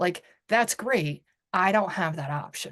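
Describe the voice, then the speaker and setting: A woman speaks loudly in an animated tone. Her pitch swings very widely. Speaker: salon and spa owner, author, public speaker. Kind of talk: interview conversation. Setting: podcast.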